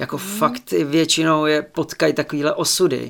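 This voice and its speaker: Speech at a moderate pace, captured in a very clean recording against a silent background. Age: 40s. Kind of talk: interview. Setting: studio.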